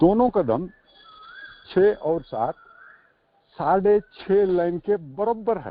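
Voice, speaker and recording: With lively intonation and long, frequent pauses, a man talks in a high-pitched voice. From South India. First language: a South Indian language (speaking Hindi). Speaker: recovering alcoholic, firefighter. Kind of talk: support group sharing. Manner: halting, many fillers; Hindi mixed with English.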